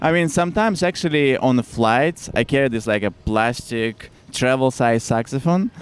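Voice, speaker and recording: A man with a Russian accent speaks at a moderate pace and medium pitch, with lively intonation, hardly any pauses and very even loudness. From Siberia, Russia. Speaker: saxophonist. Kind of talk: casual chat.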